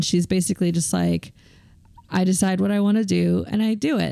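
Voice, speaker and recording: A woman speaks in an ordinary speaking voice at medium pitch, keeping a moderate pace and fairly even intonation. The recording is very clean, with a silent background. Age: 40s. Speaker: podcast host. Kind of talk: casual interview chat.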